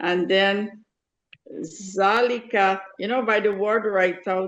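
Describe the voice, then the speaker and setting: A woman at a medium pitch and a very slow pace. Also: fairly even intonation. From Guyana. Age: 70s. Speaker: adult student. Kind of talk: language lesson. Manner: halting.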